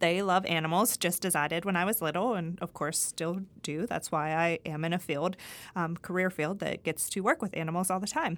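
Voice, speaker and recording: With an American accent, a woman talks at a fairly quick pace and a fairly low pitch in a very clean recording with a silent background. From Pennsylvania, US. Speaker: university extension dairy specialist and professor. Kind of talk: scripted-style podcast introduction. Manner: friendly, conversational, with laughs.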